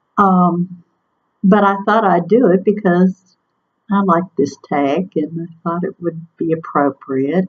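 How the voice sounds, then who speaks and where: Fairly low in pitch and somewhat breathy, a woman speaks at a fairly slow pace with fairly even intonation. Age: 60s. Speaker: vlogger sharing weight-loss surgery journey. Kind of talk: casual vlog monologue. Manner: hesitant, with frequent ums.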